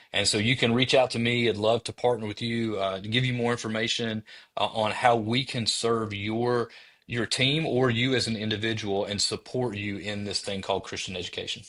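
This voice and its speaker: Speaking with a strong Southern US accent, a man of medium pitch talks at a fairly quick pace in a monotone, flat intonation against a quiet background. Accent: thick Southern US. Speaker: former teacher, educator specialist. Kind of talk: interview podcast.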